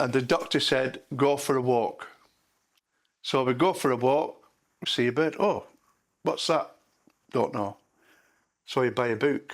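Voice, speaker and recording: In a very clean recording with a silent background, a man with an English accent and a fairly high pitch speaks fairly slowly at a very even loudness, pausing long and often. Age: 70s. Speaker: retired lorry driver, bird watcher. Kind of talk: documentary interview.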